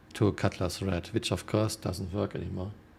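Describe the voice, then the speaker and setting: The voice is somewhat breathy. The pace is moderate. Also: man. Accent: German. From Germany. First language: German. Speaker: video game streamer. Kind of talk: casual live stream chat reading viewer comments.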